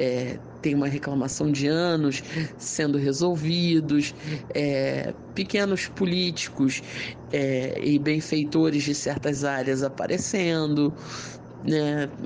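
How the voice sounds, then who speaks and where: Speaking very slowly with long, frequent pauses, a man uses a fairly high pitch, fairly even intonation and very even loudness. Noticeable background noise and audible room echo are present. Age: 30s. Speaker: interviewee, voter. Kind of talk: interview answers.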